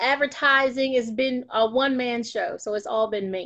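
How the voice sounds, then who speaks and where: Against a quiet background, a woman speaks with an Alabama accent and fairly even intonation. Her voice is high, with a bright, sharp tone. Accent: Southern US (Alabama). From US South, North Alabama. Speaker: magazine publisher. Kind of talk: interview.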